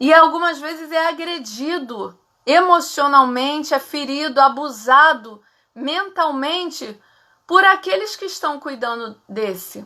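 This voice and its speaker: A raised, projected voice with a bright, sharp tone and lively intonation, on a very clean recording with a silent background. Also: woman. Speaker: psychologist. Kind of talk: live stream talk. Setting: live stream.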